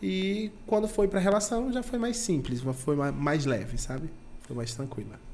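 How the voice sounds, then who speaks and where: Speaking at a fairly slow pace, a man with a high-pitched voice makes very wide pitch swings, with audible room echo around him. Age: 20s. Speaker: event producer. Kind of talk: casual chat.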